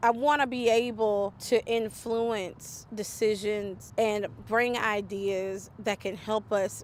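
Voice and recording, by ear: A woman with a medium-pitched voice talks at a slow pace with few pauses and fairly even intonation.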